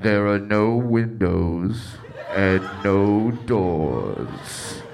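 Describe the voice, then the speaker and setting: A put-on character voice, low in pitch and very slow, over clear background noise. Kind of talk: announcer-like. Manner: spooky, ominous, theatrical.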